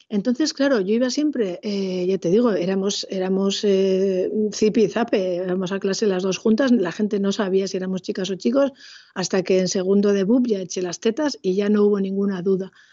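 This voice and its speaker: This is a woman with an unremarkable speaking voice at a medium pitch. She talks at a moderate pace with ordinary pitch variation. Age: 50s. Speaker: secondary school teacher. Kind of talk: casual interview. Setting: video call.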